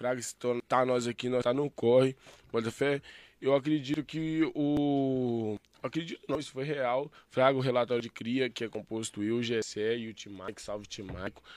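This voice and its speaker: An ordinary speaking voice from a man, medium in pitch, fairly even in intonation and moderate in pace, dry and close with no echo on a very clean recording with a silent background. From Belo Horizonte, Brazil. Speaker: slam poet. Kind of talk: casual chat.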